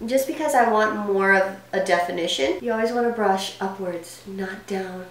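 The woman's intonation is lively and her pace moderate, with noticeable background noise around her. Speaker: makeup vlogger. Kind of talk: tutorial. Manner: animated, chatty.

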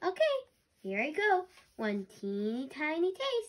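A squeaky, high-pitched put-on character voice at a fairly slow pace, with very wide pitch swings. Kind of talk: children's read-aloud character voice. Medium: read story. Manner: cheerful, carefree, whimsical.

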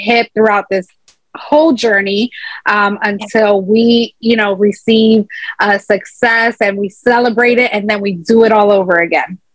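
A woman's voice with an American accent, dry with no echo, over a quiet background. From Chicago, US Midwest. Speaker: entrepreneur, author and motivational speaker; motivational speaker. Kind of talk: interview; interview answer. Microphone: video call.

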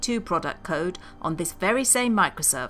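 The voice makes very wide pitch swings while music plays in the background. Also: woman. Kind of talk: comedic documentary narration.

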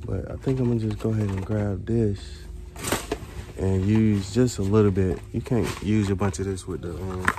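The recording is dry with no echo but has noticeable background noise, and the man's pitch is fairly low. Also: ordinary pitch variation, moderate pace. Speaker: vlogger shopping. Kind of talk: casual vlog chat. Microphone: phone near.

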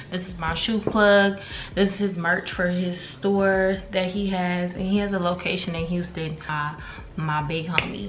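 A woman speaks in a monotone, with flat intonation. Noticeable background noise runs behind her. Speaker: vlogger. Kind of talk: casual vlog chat. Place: kitchen. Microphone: phone near.

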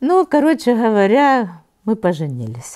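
Against a quiet background, a woman speaks fairly slowly in a dark, mellow and warm tone, with very wide pitch swings. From Kharkiv, Ukraine; Ukraine. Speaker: Holocaust survivor. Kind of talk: oral history interview, life story. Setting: interview in Kharkiv. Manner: conversational, reminiscing, warm. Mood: warm, animated, sometimes laughing. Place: home room.

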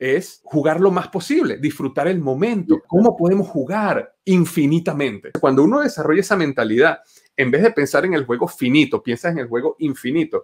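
Speaking at a moderate pace with hardly any pauses, a man uses lively intonation over a quiet background. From Venezuela. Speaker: entrepreneur and engineer; podcast guest. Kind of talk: interview. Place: home room. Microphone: webcam.

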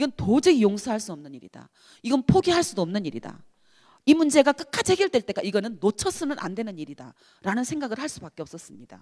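Talking at a very fast pace, a woman with a fairly high, dark, mellow voice and vocal fry makes very wide pitch swings and big swings in loudness, in a dry, close sound with no echo. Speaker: activist. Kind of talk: lecture. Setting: university hall with audience.

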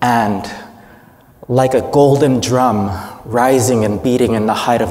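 A man speaks at a medium pitch. His tone is slightly mellow.

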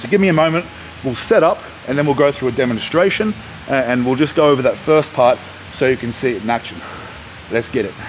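Light background noise sits behind a man talking at a very fast pace. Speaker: powerlifting coach. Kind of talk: tutorial. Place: gym. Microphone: headset.

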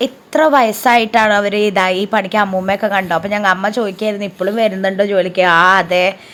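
Using a normal speaking voice, a woman talks at a medium pitch with fairly even intonation. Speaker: vlogger. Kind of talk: casual vlog narration. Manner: chatty, conversational.

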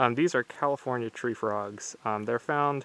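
A man speaks at a moderate pace with ordinary pitch variation. The sound is dry, with no echo. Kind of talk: casual vlog chat. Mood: excited, relaxed. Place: open country. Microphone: phone near.

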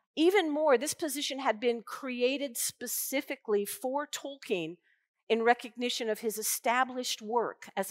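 A woman with a high voice talks at a moderate pace. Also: quiet background. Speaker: invited lecturer. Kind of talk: lecture. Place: hall. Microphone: headset.

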